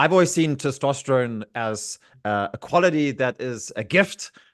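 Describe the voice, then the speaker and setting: Against a quiet background, a man's pitch swings very widely. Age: 40s. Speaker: podcast host. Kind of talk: casual chat.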